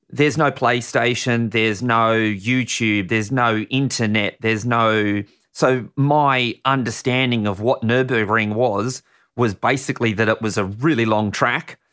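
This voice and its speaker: On a very clean recording with a silent background, a man speaks in an Australian accent at medium pitch. His tone is bright and sharp, with fairly even intonation and a fairly slow pace. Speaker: racing driver and stunt driver. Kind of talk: casual interview. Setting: studio.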